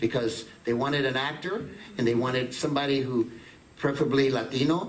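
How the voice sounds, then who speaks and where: Speaking at a fairly quick pace, a man of medium pitch shows ordinary pitch variation over noticeable background noise. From East Harlem, New York City. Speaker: actor and voiceover artist. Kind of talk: interview answer. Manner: lively, switches between English and Spanish.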